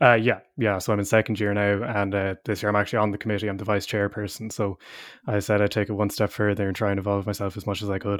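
In a very clean recording with a silent background, a man with an Irish Midlands accent speaks very fast at a fairly low pitch, his intonation monotone and flat. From Ireland (midlands). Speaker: university student and choir singer. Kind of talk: casual interview chat.

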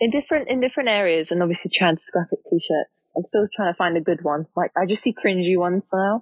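With a British accent, a woman talks at a very fast pace and medium pitch, using lively intonation, very even loudness and hardly any pauses. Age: 20s. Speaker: media planning executive. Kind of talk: casual chat.

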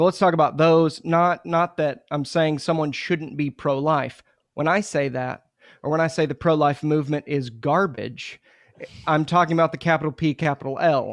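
A man with an American accent talks at a moderate pace in a fairly high pitch. His intonation is fairly even, the sound is dry and close with no echo, and the background is quiet. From Oklahoma, Muskogee. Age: 30s. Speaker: pastor. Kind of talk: podcast interview.

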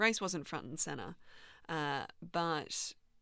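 A bright, sharp tone with vocal fry, in an Australian accent. The recording is very clean, with a silent background. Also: woman. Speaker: journalist, co-host. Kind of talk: interview.

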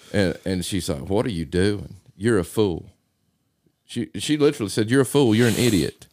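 With an ordinary speaking voice, a man talks at a moderate pace with a fairly low pitch and lively intonation. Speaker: podcast co-host. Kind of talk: casual chat.

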